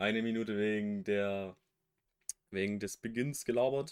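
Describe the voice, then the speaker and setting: Here a man speaks at a fairly low pitch and a moderate pace with fairly even intonation. The recording is very clean with a silent background. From western Germany. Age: 20s. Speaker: podcast co-host. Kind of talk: casual chat. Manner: different from usual, careful voice.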